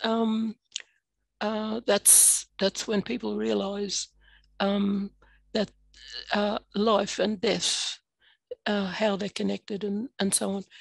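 With an Australian accent, a woman speaks flat and monotone at a very slow pace, with long, frequent pauses, in dry, echo-free sound against a quiet background. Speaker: adjunct professor. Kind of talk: workshop talk. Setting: video call. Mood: earnest, reflective. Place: home room. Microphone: headset.

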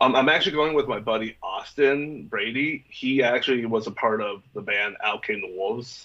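With an American accent, this voice moves at a moderate pace with ordinary pitch variation and hardly any pauses over a quiet background. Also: man. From Minnesota. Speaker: vocalist and music promoter; interview guest. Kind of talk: casual interview. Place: home room. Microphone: video call.

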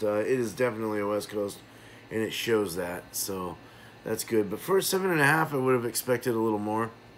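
A man's voice with ordinary pitch variation and light background noise. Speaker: beer reviewer. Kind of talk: casual review commentary. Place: home room. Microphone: phone near.

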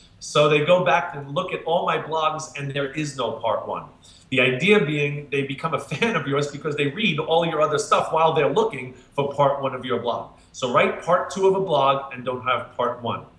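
A man talks at a moderate pace with ordinary pitch variation, and room echo is audible. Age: 50s. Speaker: marketing speaker; marketing coach guest. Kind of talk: interview. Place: home room. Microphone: webcam.

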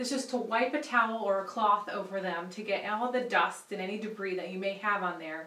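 Audible room echo surrounds a woman's voice. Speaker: home improvement host. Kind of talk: tutorial. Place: bathroom.

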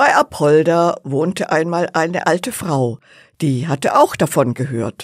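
The voice has a warm tone and a fairly slow pace, captured on a very clean recording with a silent background. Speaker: storyteller reading a fairy tale. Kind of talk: bedtime story narration, calm and cozy, with gentle character voices. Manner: soft, slow, warm storytelling pace; playful, animated character voices (old woman, cheeky servant).

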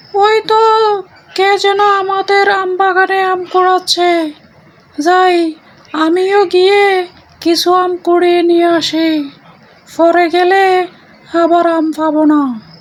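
A woman's cartoonish character voice, extremely high in pitch, with a very slow pace and fairly even intonation

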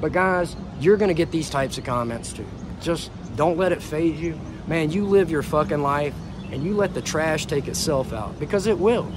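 Against noticeable background noise, a man with an American accent speaks at a fairly high pitch, the sound dry with no echo. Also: ordinary pitch variation, moderate pace. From United States. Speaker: vlogger; travel vlogger. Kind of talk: casual monologue to camera; casual vlog chat. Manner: animated. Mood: defiant, irritated toward critics. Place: street. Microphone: earbuds.

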